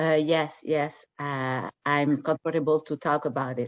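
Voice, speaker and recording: A woman's very deep, low voice in a French accent, fairly even in intonation, at a very slow pace, dry and close with no echo. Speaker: radiologist. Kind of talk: interview. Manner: halting.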